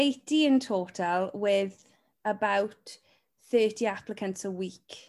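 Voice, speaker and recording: A woman speaks very slowly in a South Wales accent, at a medium pitch with ordinary variation. The recording is very clean, with a silent background. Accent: Welsh valleys, sing-song. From Welsh valleys. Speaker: talent agent. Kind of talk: casual interview chat.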